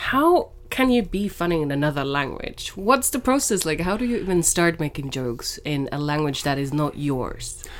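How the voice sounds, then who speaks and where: A woman's fairly low voice with a Finnish accent, very wide pitch swings, a moderate pace and hardly any pauses. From Finland. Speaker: podcast host, embassy communications staff. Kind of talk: scripted narration. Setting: small room at embassy.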